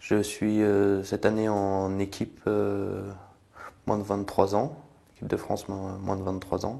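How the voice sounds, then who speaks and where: At a very slow pace, a man speaks in a dark, mellow tone with fairly low pitch and monotone, flat intonation. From French Alps (Queyras, Hautes-Alpes). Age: 20s. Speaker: cross-country skier and soldier. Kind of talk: interview. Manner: halting, many hesitations.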